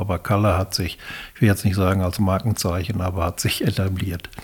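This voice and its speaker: Speaking at a moderate pace, a man keeps his fairly low voice monotone and flat. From Westphalia, Germany (Erwitte, Hellweg). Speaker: retired farm veterinarian and professional-body official. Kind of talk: casual interview. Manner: halting, with repeated words.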